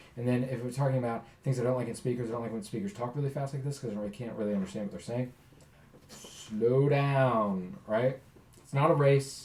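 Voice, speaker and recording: This man has an ordinary speaking voice, medium pitch, ordinary pitch variation and a fairly quick pace. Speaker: college speech instructor. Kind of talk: recorded lecture.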